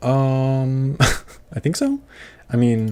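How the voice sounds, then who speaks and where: A quiet male voice, dark and mellow in tone, with ordinary pitch variation. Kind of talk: casual livestream chat reading comments. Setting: livestream. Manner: quiet, lower volume; hesitant with fillers and repetitions.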